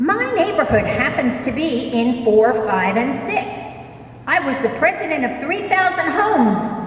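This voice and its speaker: With an American accent, a woman talks at a very slow pace in a high voice, amid audible room echo and noticeable background noise. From New York. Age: 60s. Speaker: resident speaking at public hearing. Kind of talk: public comment at hearing. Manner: forceful, impassioned.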